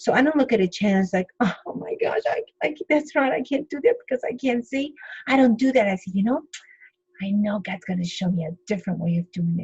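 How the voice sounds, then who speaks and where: In a Spanish accent, a woman speaks at a fairly quick pace with lively intonation and a fairly high pitch, in a dry, close sound with no echo. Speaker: interpreter and speaker. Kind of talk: interview testimony. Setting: podcast interview.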